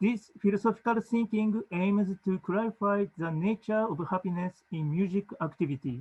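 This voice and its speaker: The speaker has a Japanese accent and a moderate pace with hardly any pauses. Pitch variation is ordinary, and the sound is dry and close with no echo. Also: man, high pitch for a man. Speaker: music education academic. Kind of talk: conference presentation. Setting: video call.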